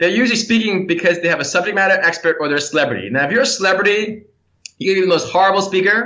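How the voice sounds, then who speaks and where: A man with an American accent speaks in a raised, projected voice. His pitch is high, with ordinary variation. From New York City. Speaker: keynote speaker. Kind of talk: interview. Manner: animated.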